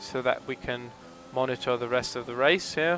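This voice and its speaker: A man's medium-pitched voice at a moderate pace, over noticeable background noise. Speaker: esports race commentator. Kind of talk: live commentary. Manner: quiet.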